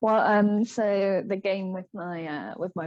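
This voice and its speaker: Speaking with an English accent, a woman varies her pitch in an ordinary way. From England. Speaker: digital artist. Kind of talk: casual chat. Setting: live stream.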